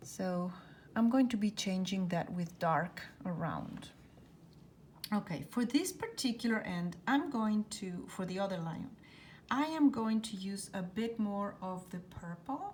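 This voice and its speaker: The delivery is fairly slow and somewhat breathy, with lively intonation. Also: woman, medium pitch for a woman. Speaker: painting instructor. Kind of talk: tutorial. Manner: relaxed; quiet at times while concentrating.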